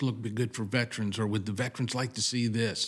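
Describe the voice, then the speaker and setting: On a very clean recording with a silent background, a man with an ordinary speaking voice talks at a fairly quick pace, a medium pitch and fairly even intonation. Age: 60s. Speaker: veteran, veterans club president. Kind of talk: casual interview. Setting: on location at golf event.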